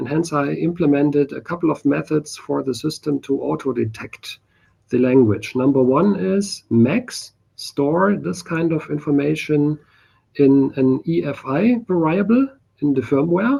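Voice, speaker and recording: Fairly slow speech with a German accent. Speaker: software developer presenting a project. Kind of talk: technical demo in online meeting.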